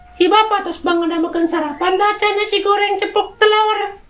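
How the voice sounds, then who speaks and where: A woman in a put-on character voice sounds squeaky, with an extremely high pitch and a fairly quick pace. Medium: comedy sketch. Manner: sugary, affected posh.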